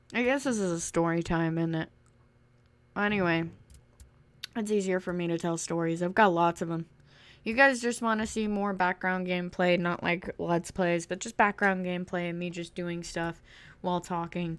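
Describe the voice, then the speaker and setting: Over a very clean recording with a silent background, the speech keeps a moderate pace and fairly even intonation, with long, frequent pauses. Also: woman. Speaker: gaming YouTuber. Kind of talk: casual story time over gameplay. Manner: loud.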